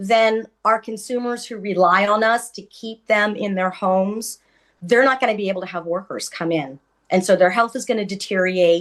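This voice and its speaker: A woman talks at a medium pitch and a moderate pace, with ordinary pitch variation. Her loudness swings widely. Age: 60s. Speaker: home care worker and union member. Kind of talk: panel testimony. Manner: hesitant with fillers.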